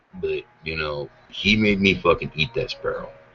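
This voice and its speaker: With an American accent, a man talks in an animated tone. His pace is moderate, with music in the background. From Idaho, US. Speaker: podcast host. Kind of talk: casual chat.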